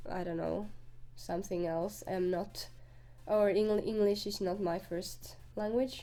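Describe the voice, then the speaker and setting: Speaking in a Finnish accent, a woman talks at a medium pitch and a fairly slow pace. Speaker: gaming youtuber. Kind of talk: voiceover commentary. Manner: halting.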